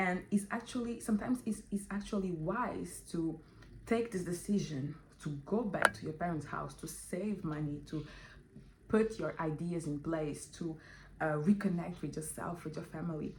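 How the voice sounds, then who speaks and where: A woman speaks at a moderate pace, somewhat breathy and fairly low, with ordinary pitch variation. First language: Portuguese or French, not English. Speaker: vlogger. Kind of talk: casual vlog monologue. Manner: halting, with many fillers.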